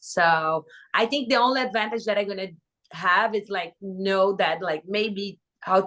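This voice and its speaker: The woman talks at a medium pitch in a Brazilian Portuguese accent. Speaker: reality TV contestant. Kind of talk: podcast interview. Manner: animated.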